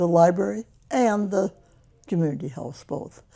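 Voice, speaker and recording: A woman with an American accent speaks in a fairly low pitch with a dark, mellow tone. Her intonation is lively, with vocal fry. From US Midwest, northern Michigan. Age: 90s. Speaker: retired local resident. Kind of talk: oral history interview.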